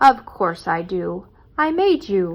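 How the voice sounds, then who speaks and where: A woman puts on a character voice. Her tone is warm and gentle, at medium pitch. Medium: read story. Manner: warm, gentle.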